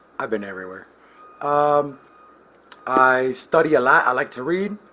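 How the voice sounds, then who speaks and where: Over noticeable background noise, a man talks at a moderate pace with lively intonation and big swings in loudness. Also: medium pitch for a man. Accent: American. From US Midwest. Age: 30s. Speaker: collections agent. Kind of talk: casual self-introduction.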